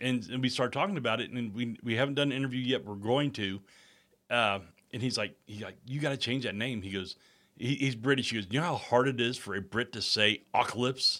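Bright and sharp in tone, the voice moves at a fairly quick pace with ordinary pitch variation on a very clean recording with a silent background. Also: man, medium pitch for a man. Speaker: podcast host, former radio DJ. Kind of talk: casual interview.

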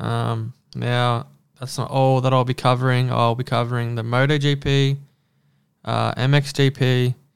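Flat and monotone, a man speaks at a fairly slow pace in an Australian accent. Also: medium pitch for a man. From Australia, New South Wales country town. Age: 20s. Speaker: podcast host, dirt bike rider. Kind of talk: casual solo monologue.

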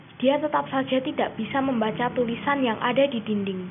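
A woman speaks in a high voice. There is noticeable background noise. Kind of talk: ghost story telling, creepypasta read aloud.

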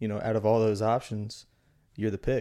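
A man talks in a dark, mellow tone. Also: very clean recording, silent background. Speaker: podcast guest. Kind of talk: casual conversation.

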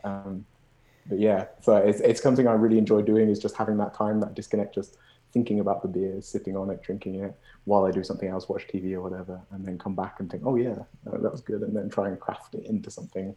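Against a quiet background, a man with a British accent talks very fast in a fairly low pitch. His tone is dark and mellow, and his intonation monotone and flat. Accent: noticeable British. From Birmingham, England. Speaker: beer and movie fan guest.

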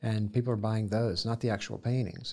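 A man with a Southern US accent speaks in a fairly low voice on a very clean recording with a silent background. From US South, Columbus, Georgia. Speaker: painter. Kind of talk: interview. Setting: studio.

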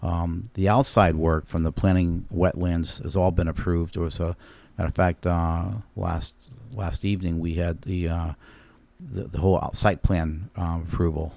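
At a moderate pace, a man speaks in a dark, mellow, very deep, low voice with fairly even intonation. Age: 60s. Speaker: commercial real estate developer and flooring contractor. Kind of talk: casual interview. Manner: halting, repeats words.

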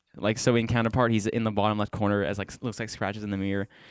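A man's fairly low voice with a Western Pennsylvania accent at a very fast pace. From Bridgeville, Pennsylvania. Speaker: bassist and backing vocalist. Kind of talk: casual interview. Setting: recording studio.

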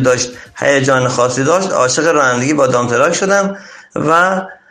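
A fairly high-pitched man talks at a fairly quick pace with ordinary pitch variation. There is audible room echo. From Iran, Chaharmahal and Bakhtiari. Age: 40s. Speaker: dump truck driver. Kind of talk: interview. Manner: formal.

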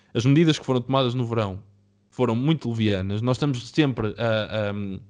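A man at a moderate pace, medium pitch and ordinary pitch variation, with a quiet background. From Portugal, Oliveira de Azeméis area. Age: 20s. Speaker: software developer, podcast co-host. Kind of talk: casual debate among friends. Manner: halting, repetitive.

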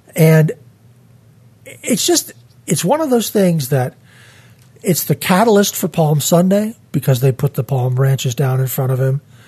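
A man's fairly high-pitched, dark, mellow voice with lively intonation, a fairly slow pace, long, frequent pauses, and a dry, close sound with no echo. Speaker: church podcast host. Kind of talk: Bible study discussion. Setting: studio.

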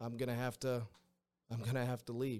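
A man with an American accent at a medium pitch. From Western Massachusetts. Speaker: baseball coach. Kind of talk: interview. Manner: halting.

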